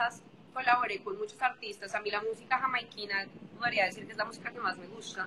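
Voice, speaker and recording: A woman's fairly high voice at a very fast pace, with fairly even intonation and big swings in loudness. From Colombia, Bogotá. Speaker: singer. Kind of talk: interview.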